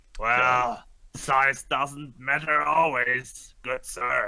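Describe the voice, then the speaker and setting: Delivered at a very slow pace, the put-on character voice keeps a fairly even intonation. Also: man, medium pitch for a man. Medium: actual play.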